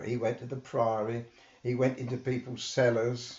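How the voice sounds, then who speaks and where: A man with a southern English accent speaks at a moderate pace. His voice is somewhat breathy and medium in pitch. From England, Hitchin, Hertfordshire. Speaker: local historian. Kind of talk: interview storytelling. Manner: animated.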